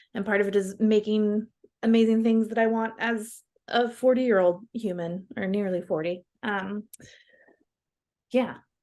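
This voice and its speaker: An American-accented woman speaks fairly slowly with long, frequent pauses, a fairly high pitch, and ordinary pitch variation. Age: 30s. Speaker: clothing designer and shop owner. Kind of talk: casual chat.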